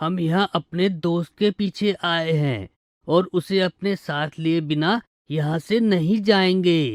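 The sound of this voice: A cartoonish character voice at a middle pitch moves along at a fairly slow pace.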